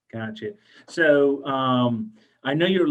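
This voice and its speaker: At a fairly slow pace, a man speaks in an unremarkable speaking voice with fairly high pitch. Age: 50s. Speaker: pharmacist podcast host. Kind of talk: podcast interview.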